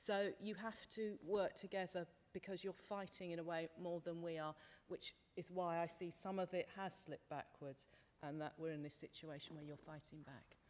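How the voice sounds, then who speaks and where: Speaking in a British accent, a woman uses a fairly low pitch and fairly even intonation. Her pace is moderate. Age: 50s. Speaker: panel speaker, women's sector worker. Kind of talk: panel discussion. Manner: loud.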